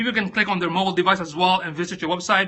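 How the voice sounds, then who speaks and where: A man speaks with a non-native accent at a high pitch. His pace is very fast. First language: not English. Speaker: social media coach. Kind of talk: live stream talk. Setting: live video stream on phone. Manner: casual, hesitant with fillers.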